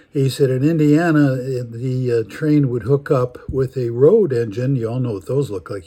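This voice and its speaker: A man with an American accent speaks at a moderate pace with hardly any pauses, over noticeable background noise. His medium pitch varies in an ordinary way, while his loudness swings widely. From US Midwest, Chicago. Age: 80s+. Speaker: storyteller. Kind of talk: storytelling. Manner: halting, many fillers.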